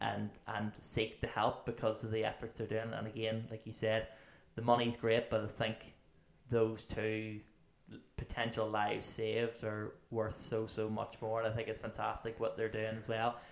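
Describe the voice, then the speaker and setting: A man with a Northern Irish accent, medium pitch, monotone, flat intonation and a moderate pace. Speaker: podcast host. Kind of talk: casual interview.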